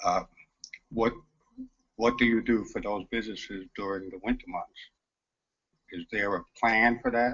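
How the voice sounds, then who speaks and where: In a New York accent, a man with a medium pitch talks at a moderate pace with fairly even intonation and long, frequent pauses. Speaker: audience member. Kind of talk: audience question.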